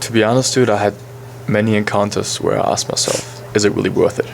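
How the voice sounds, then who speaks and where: With a German accent, a man speaks at a fairly quick pace, broken by long, frequent pauses. Noticeable background noise runs under his voice. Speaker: podcast co-host, college soccer player. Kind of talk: casual chat.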